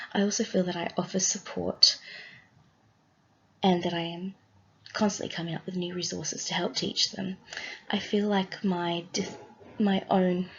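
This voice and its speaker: In an Australian accent, a woman speaks at a moderate pace and medium pitch with monotone, flat intonation. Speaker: student teacher. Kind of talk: class presentation. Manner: scripted, read from notes.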